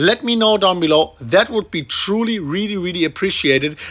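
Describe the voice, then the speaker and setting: Delivered at a fairly quick pace in a German accent, the speech has an animated tone. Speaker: crypto YouTuber. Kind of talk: market analysis video commentary.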